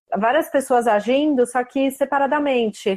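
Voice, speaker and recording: A woman's high-pitched voice at a moderate pace, with fairly even intonation. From Brazil, São Paulo state. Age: 30s. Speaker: tennis blogger. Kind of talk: casual interview.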